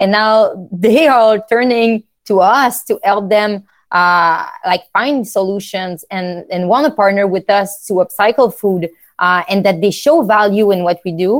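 A woman with a French accent speaks at a fairly slow pace, her medium pitch showing ordinary variation. The recording is very clean and the background silent. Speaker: startup founder. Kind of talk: casual interview.

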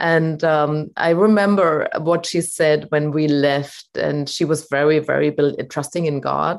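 Speaking in a German accent at a very deep, low pitch, a woman keeps a fairly even intonation and a fairly slow pace with hardly any pauses. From Germany. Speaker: voice coach. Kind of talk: casual interview. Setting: video call.

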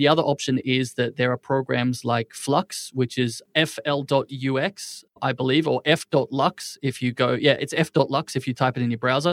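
A man with an unremarkable speaking voice talks at a moderate pace and medium pitch, with hardly any pauses and fairly even intonation. The sound is dry and close, with no echo. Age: 30s. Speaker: entrepreneur and biohacker. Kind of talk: interview.

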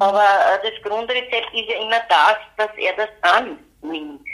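A woman talks at a very slow pace. Her voice sits fairly high. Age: 60s. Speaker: retired pediatric nurse and mother of a son with mental illness. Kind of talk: interview, personal testimony.

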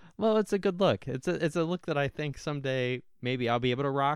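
A man with a normal speaking voice talks at a fairly quick pace in a fairly high pitch, with lively intonation and hardly any pauses. The sound is dry and close with no echo. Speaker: podcast host. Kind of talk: casual chat. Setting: same room, socially distanced.

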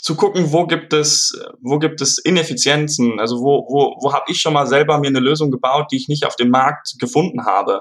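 A man speaks with a fairly high pitch and ordinary pitch variation. His pace is moderate. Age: 20s. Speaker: student and product inventor. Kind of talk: interview. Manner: halting, many fillers.

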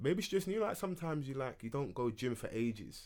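With a London accent, a man speaks at a moderate pace, his pitch swinging very widely. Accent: London Multicultural English. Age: 20s. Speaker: podcast host. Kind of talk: casual chat. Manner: animated.

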